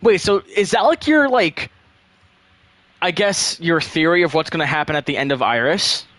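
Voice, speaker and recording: Pitched high, a man speaks with a bright, sharp tone and lively intonation. His moderate pace comes through a dry, close sound with no echo. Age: 18. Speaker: game streamer and map developer. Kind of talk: casual live stream chat. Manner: casual, fillers and restarts.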